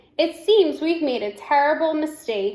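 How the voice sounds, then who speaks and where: A woman puts on a high-pitched character voice and speaks at a moderate pace. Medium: read story.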